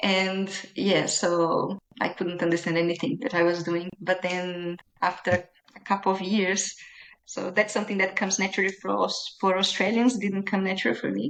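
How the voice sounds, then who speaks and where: The speaker has a Brazilian accent and fairly even intonation. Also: woman, medium pitch for a woman, moderate pace. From Brazil, Minas Gerais. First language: Portuguese. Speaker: small business owner. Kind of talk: interview. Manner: halting.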